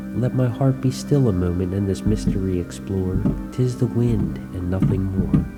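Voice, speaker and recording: Music is heard in the background. Over it, a man talks fairly slowly. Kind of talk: poetry reading.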